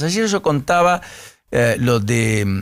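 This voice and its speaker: The speaker is a man at a medium pitch. His voice swings very widely in pitch. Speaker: radio host. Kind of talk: morning radio interview.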